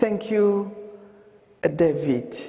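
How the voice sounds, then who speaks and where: A woman with a French accent, with audible room echo around her voice. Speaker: humanitarian founder. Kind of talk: testimony.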